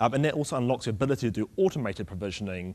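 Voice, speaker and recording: A man is speaking. He talks at a very fast pace. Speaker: conference speaker. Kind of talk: technical conference talk. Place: stage. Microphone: podium.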